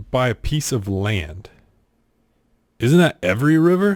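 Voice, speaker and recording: The recording is very clean, with a silent background. A man speaks at a medium pitch with very wide pitch swings. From US South. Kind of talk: casual talk to camera.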